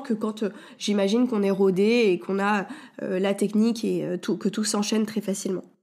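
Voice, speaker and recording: The speaker is a woman. She keeps to a moderate pace. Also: very clean recording, silent background. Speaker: podcast host and wellness coach. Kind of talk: solo podcast monologue. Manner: hesitant, many fillers.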